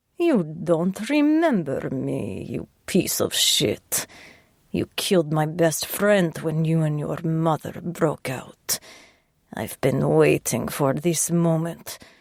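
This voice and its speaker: A raspy put-on character voice at a middle pitch in a Ukrainian accent, very slow. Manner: cold, bitter.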